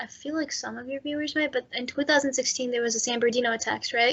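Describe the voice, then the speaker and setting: A woman speaks with an American accent. Her pitch is high and her intonation fairly even. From United States. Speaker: guest. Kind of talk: casual chat.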